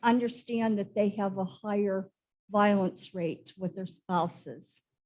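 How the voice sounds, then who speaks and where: A woman's somewhat breathy, fairly high voice with ordinary pitch variation. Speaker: conference speaker, former nurse. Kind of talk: lecture.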